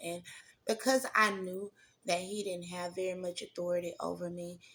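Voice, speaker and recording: A woman with a Southern accent speaks at a moderate pace in a fairly low voice. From Mississippi, US South. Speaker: testimony vlogger. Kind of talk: personal testimony. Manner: conversational, many fillers.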